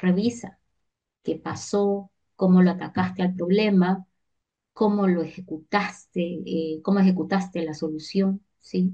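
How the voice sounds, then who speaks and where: Speaking at a fairly slow pace, a woman with a medium pitch sounds somewhat breathy, her tone dark and mellow. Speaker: teacher. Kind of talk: online lecture.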